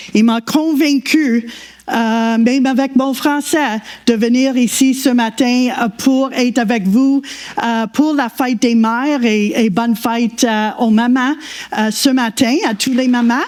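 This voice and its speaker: With noticeable noise behind her, a woman talks very slowly in a high voice, her loudness very even and her intonation fairly even. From Quebec. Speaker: guest preacher. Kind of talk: sermon. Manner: halting.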